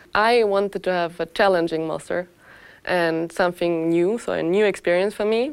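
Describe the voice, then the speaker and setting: A woman with a German accent speaks at a fairly low pitch and a moderate pace. Her pitch varies in an ordinary way, and the recording is very clean with a silent background. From Austria. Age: 20s. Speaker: master's student in finance. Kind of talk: testimonial interview.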